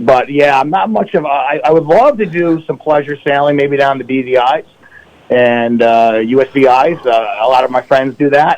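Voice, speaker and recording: With an American accent, a man talks in an ordinary speaking voice at medium pitch and a moderate pace, with ordinary pitch variation. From upstate New York. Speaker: financial advisor. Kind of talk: radio interview.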